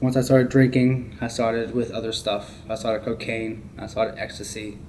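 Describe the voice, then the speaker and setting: Noticeable background noise runs behind a man with a medium pitch. He speaks at a moderate pace with fairly even intonation. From Maryland, US. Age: 20s. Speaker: formerly homeless person in recovery. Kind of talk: testimony.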